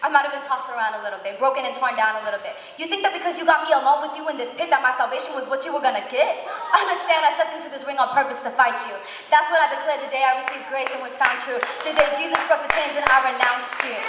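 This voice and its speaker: A high-pitched woman's voice at a very fast pace, with ordinary pitch variation, audible room echo and light background noise. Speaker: spoken word performer at a worship event. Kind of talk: spoken word poetry, religious, live performance. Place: church. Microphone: handheld.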